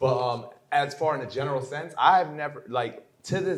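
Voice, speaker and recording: Talking fairly quickly, the man has an American accent. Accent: Americanized. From New York State (Port Jervis). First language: German. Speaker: poet and entrepreneur. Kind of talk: interview conversation.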